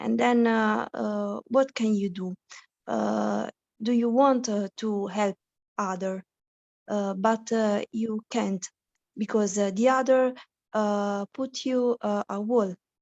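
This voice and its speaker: At a very slow pace, a woman with a non-native accent speaks with long, frequent pauses. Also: medium pitch for a woman, fairly even intonation. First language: not English. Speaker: student asking a question. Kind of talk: question from participant. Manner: halting, searching for words.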